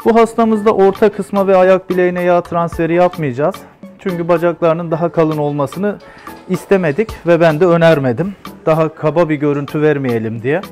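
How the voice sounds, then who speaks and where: Faint music plays behind a man speaking at a moderate pace. His voice is high-pitched, with ordinary pitch variation. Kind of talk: explanatory narration during procedure. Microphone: phone near.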